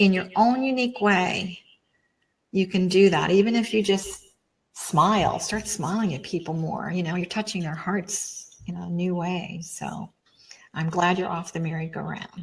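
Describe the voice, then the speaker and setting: Her voice somewhat breathy, a woman talks at a moderate pace. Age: 70s. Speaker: psychic. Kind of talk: interview.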